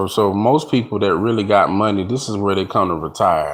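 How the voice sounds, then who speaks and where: Moderate pace and ordinary pitch variation in a man's fairly low voice. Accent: American. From North Carolina, US South. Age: 30s. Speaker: livestreamer. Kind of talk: casual livestream chat. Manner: animated.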